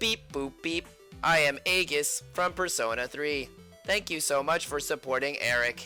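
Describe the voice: A robotic put-on character voice at a moderate pace, with clear music in the background. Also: man, fairly high pitch for a man.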